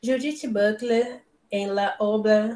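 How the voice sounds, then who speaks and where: Fairly high in pitch, a woman talks with a Brazilian accent and fairly even intonation. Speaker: philosophy lecturer. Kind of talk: reading aloud. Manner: halting.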